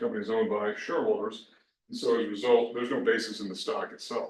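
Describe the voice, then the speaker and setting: Mumbling at a very fast pace, a man gets his words out. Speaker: tax instructor. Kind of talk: recorded lecture. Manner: hesitant, many fillers.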